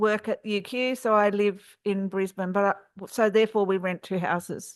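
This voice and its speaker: The speaker has an Australian accent and flat, monotone intonation. The background is quiet. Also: woman. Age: 60s. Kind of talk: panel discussion. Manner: hesitant, many fillers.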